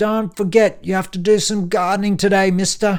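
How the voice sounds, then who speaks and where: In a put-on character voice, a man projects a croaky, high-pitched sound at a moderate pace with flat, monotone intonation. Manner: loud.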